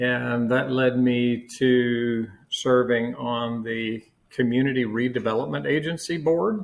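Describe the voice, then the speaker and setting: A man with an American accent at a medium pitch, with ordinary pitch variation and a very slow pace. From Florida, Martin County. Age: 60s. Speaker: county commissioner. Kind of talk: interview conversation. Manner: hesitant fillers.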